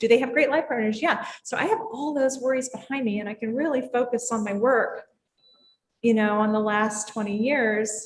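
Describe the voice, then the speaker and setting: Fairly high in pitch, a woman speaks at a moderate pace in an unremarkable speaking voice with ordinary pitch variation. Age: 60s. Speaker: drinks industry leader. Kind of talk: casual chat.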